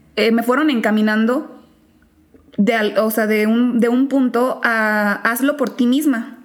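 A woman with fairly high pitch and ordinary pitch variation, over noticeable background noise. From Mexico, small town in Guanajuato. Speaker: law graduate. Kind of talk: interview chat.

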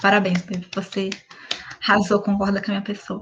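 A woman talks in a monotone, flat intonation. Her pitch sits in the medium range. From Brazil, Minas Gerais. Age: 20s. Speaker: podcast co-host. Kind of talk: casual chat. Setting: video call from home.

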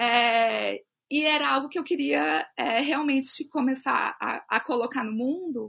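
A woman speaks at a very slow pace in a high, bright, sharp voice. Her voice is raised and projected. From Brasília, Brazil. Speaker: illustrator and author. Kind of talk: casual chat.

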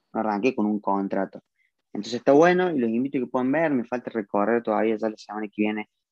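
At a very fast pace, a man talks at medium pitch. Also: ordinary pitch variation. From Argentina, Córdoba. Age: 20s. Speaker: car detailing entrepreneur. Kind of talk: live video interview.

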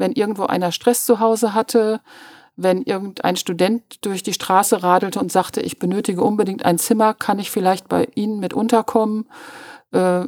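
Heard in a dry, close sound with no echo, a woman with an ordinary speaking voice talks at a moderate pace and a medium pitch. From Münster, Westphalia, Germany. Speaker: journalist. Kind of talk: casual interview.

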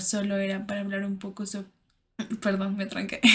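A woman speaks at a medium pitch. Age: 20s. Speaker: podcaster. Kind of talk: personal monologue. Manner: halting.

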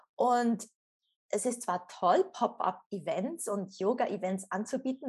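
A somewhat breathy woman's voice, fairly high-pitched with lively intonation, in a very clean recording with a silent background. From Switzerland. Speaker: former yoga teacher and coach. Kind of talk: interview, personal story.

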